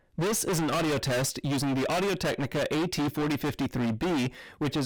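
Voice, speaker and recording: A man's normal speaking voice, fairly high in pitch, at a fairly quick pace, on a very clean recording with a silent background. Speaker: gear reviewer. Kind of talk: product review tutorial. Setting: home studio storage room.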